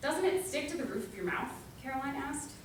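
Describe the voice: A woman speaks at a fairly quick pace in a medium pitch, with audible room echo around her voice.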